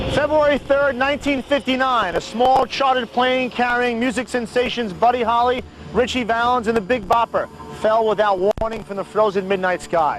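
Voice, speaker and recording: Music plays behind a man who talks at an extremely high pitch and a moderate pace with ordinary pitch variation. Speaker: TV host and narrator. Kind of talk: TV documentary narration. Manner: hard-boiled, often sarcastic.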